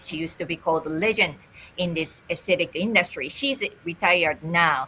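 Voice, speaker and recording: A woman with a Japanese accent speaks in a bright, sharp tone at a fairly low pitch, her pitch varying in an ordinary way. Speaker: holistic esthetician and business coach. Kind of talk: interview.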